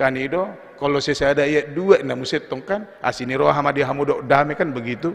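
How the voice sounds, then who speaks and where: In a normal speaking voice, a man talks at a fairly quick pace and fairly high pitch, with ordinary pitch variation and hardly any pauses. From North Sumatra, Indonesia (Batak). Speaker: pastor. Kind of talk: sermon. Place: church. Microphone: podium.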